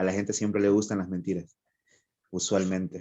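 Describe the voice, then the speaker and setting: This man speaks with a Honduran accent. His pitch is very deep and low. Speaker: writer. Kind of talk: interview.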